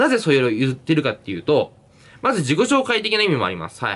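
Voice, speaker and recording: Very wide pitch swings mark a man's delivery at a very fast pace. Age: 20s. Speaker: YouTuber and university student; YouTuber. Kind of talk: solo Q&A vlog; casual vlog chat, Q&A. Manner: casual, filler-heavy. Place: home room. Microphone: phone near.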